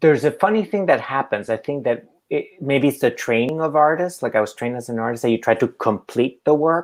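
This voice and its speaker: A man with a non-native accent talks at a fairly quick pace with hardly any pauses, his fairly high voice lively in intonation. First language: not English. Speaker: artist. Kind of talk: public conversation.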